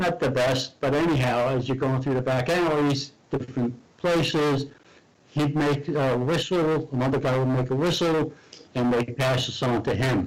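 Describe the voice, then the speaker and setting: A man at a moderate pace, with fairly even intonation, very even loudness, and noticeable background noise. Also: medium pitch for a man. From Hungary. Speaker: war veteran. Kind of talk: interview testimony.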